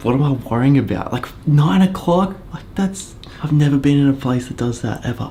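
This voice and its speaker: Speaking fairly quickly and with lively intonation, a man is heard through noticeable background noise. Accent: Australian. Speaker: travel vlogger and photographer. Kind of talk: vlog narration.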